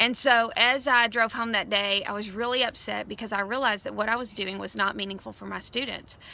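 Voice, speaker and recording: A woman speaks loudly at a fairly quick pace with hardly any pauses, her fairly high voice bright and sharp with some vocal fry. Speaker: education speaker, former teacher. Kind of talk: recorded video message to school staff. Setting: outdoors. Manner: animated.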